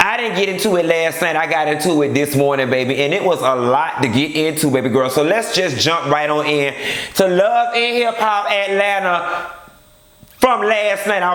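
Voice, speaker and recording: Speech at a moderate pace with lively intonation comes through over noticeable background noise. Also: man, high pitch for a man. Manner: casual, chatty, energetic.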